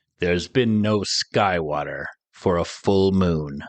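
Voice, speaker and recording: Fairly slow speech from a man in a put-on character voice, his pitch very deep and low. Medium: read story. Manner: cold, menacing.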